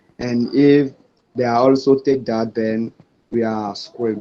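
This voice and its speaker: A man speaks at a fairly slow pace in a French accent. His intonation is monotone and flat. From Benin. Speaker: student developer club lead. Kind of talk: short speech in an online meeting. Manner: halting, many fillers.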